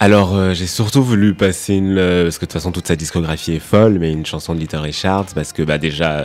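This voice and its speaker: A man with a very deep, low pitch talks at a fairly quick pace. He uses ordinary pitch variation and hardly any pauses. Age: 20s. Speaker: fashion journalist. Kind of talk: casual chat.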